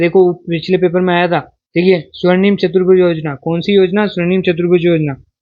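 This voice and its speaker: A man talks at a moderate pace in a high pitch. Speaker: exam coaching teacher. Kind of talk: exam prep lecture. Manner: animated.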